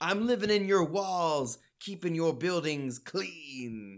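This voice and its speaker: A man puts on a character voice pitched high. He speaks at a fairly slow pace. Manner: creepy, menacing.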